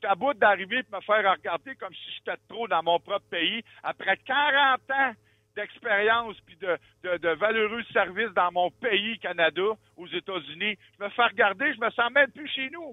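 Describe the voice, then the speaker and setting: Speaking in a Quebec accent, a man has a high pitch and an animated tone. His pace is moderate, his pitch varies normally, and his loudness swings widely. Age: 60s. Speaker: truck driver. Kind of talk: call-in rant. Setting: phone call.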